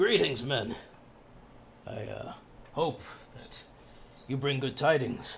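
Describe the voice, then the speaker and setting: A man's raspy, put-on character voice at a medium pitch, very slow, with long, frequent pauses over clear background noise. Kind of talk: formal, archaic. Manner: formal greeting.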